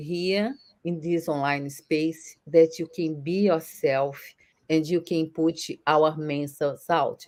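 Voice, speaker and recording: Here a woman speaks with a Brazilian accent at a very slow pace. The recording is very clean, with a silent background. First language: Portuguese. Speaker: online entrepreneur. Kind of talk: interview answer.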